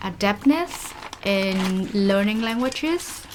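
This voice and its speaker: Through noticeable background noise, a woman with a Vietnamese accent speaks very slowly in a fairly high voice. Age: 20s. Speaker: vlogger. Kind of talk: casual vlog talk while cooking.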